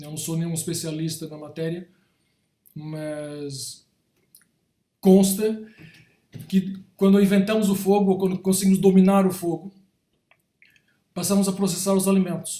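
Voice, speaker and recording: With audible room echo, a man speaks fairly slowly at a high pitch in a dark, mellow tone, with fairly even intonation and long, frequent pauses. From Brazil, São Paulo. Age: 60s. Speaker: creative director / design professional. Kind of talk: talk / lecture to an audience. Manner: halting, with frequent repetitions and self-corrections.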